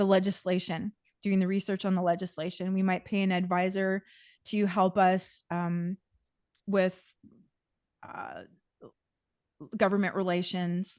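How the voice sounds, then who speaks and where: Over a quiet background, a woman speaks at a fairly slow pace in a medium pitch, with flat, monotone intonation, long, frequent pauses and a dry, close sound with no echo. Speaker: environmental nonprofit director presenting. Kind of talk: Q&A answers in a video meeting. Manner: hesitant, many fillers and restarts.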